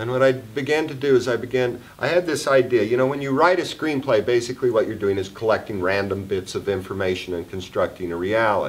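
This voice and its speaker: A man speaks at a very fast pace with lively intonation and hardly any pauses, over noticeable background noise. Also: medium pitch for a man. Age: 60s. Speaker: film director. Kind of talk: festival Q&A after screening.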